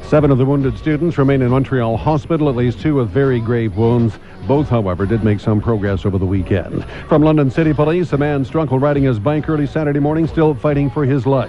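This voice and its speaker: A man's medium-pitched voice at a fairly quick pace, very even in loudness with ordinary pitch variation, over noticeable background noise. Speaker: radio newsreader. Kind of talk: radio morning newscast.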